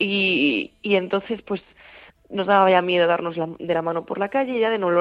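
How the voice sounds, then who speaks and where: Speaking in a normal speaking voice, a woman talks at a fairly slow pace with a medium pitch. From Galicia, A Coruña. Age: 20s. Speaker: university student. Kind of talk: radio interview.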